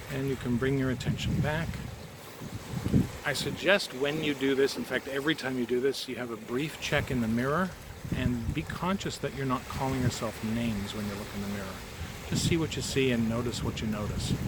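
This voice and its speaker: A man of medium pitch speaks at a fairly quick pace with ordinary pitch variation, over noticeable background noise. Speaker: energy healer. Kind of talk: guided energy healing talk to camera. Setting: outdoors. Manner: casual, warm.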